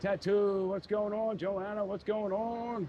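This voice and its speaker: This man has a dark, mellow tone and a high pitch, in a Philadelphia accent. His pace is very slow. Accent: Philly. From Philadelphia, US. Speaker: live streamer, city walk vlogger. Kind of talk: casual live stream chat while walking. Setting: outdoors on the Las Vegas Strip. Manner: casual, hesitant with fillers and repetitions.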